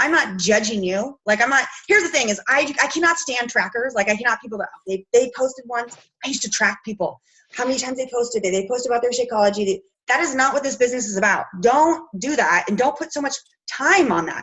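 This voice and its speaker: A woman talks at a very fast pace. Her voice is high-pitched with lively intonation. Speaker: fitness coach leading a team meeting. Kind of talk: team training call. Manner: animated.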